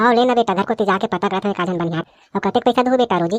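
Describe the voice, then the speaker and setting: Very fast cartoonish character voice from a woman at medium pitch, dry and close with no echo. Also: ordinary pitch variation. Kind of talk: rustic comic cartoon voice. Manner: blunt, quarrelsome.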